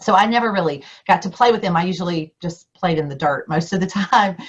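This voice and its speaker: A woman with a Southern US accent speaks in a fairly low, somewhat breathy voice with ordinary pitch variation. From US South. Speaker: district governor and Rotary speaker. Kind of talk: keynote speech. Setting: video call.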